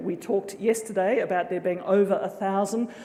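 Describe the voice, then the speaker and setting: The speaker has an Australian accent. Noticeable background noise sits behind the voice. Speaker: conference organiser giving opening address. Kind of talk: formal conference speech.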